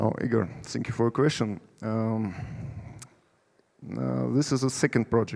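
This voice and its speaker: A man at a very slow pace, at medium pitch, in a dark, mellow tone. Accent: Russian. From Russia. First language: Russian. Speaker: company CEO. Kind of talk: conference presentation; audience Q&A. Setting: stage with audience. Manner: halting.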